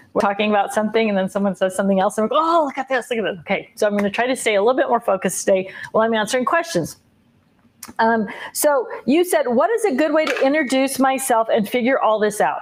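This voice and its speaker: Talking at a very fast pace, a woman uses a fairly high pitch and lively intonation. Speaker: craft livestream host. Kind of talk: casual live chat. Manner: animated.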